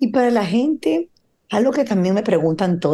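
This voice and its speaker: A woman with a dark, mellow tone and lively intonation, against a quiet background. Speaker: podcast host, co-founder of fashion platform. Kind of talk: casual interview.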